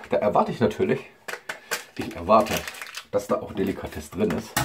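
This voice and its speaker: A man's fairly quick speech plays out amid noticeable background noise. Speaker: food reviewer. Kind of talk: casual vlog chat. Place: kitchen. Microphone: webcam.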